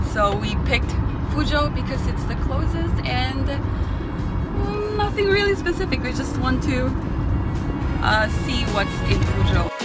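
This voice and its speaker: With clear music in the background, a woman speaks at a fairly slow pace. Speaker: travel vlogger. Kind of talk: casual vlog chat. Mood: cheerful, relaxed. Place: car. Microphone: phone near.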